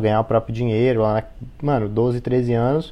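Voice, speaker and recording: This man has a normal speaking voice at a medium pitch, talking at a moderate pace. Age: 20s. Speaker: podcast co-host and YouTuber. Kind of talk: casual chat.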